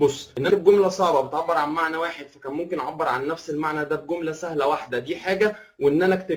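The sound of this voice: A man talks at a very fast pace. His fairly high pitch shows ordinary variation.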